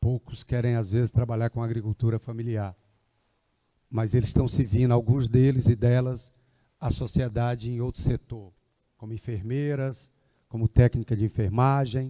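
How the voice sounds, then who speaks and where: A man with a medium pitch talks at a moderate pace in a monotone, flat intonation. He leaves long, frequent pauses. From Ceará, Brazil. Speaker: agricultural development foundation representative. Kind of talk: public speech at event. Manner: conversational, informal.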